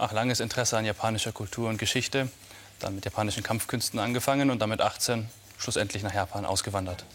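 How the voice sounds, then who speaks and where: A man speaks at a very fast pace with a fairly low voice. His intonation stays fairly even. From Munich, Bavaria. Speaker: martial arts master. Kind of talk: TV interview. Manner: halting.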